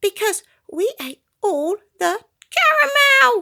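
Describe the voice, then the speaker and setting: Speaking at a very slow pace, a woman uses a put-on character voice. It is squeaky and pitched extremely high. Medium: read story.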